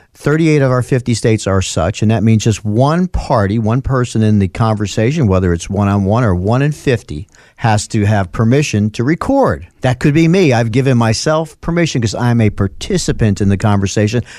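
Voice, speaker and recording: A man's medium-pitched voice with a dark, mellow tone, lively intonation and very even loudness, in a very clean recording with a silent background. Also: moderate pace, hardly any pauses. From US Northeast, North Bronx, New York. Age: 60s. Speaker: lawyer. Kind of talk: casual chat.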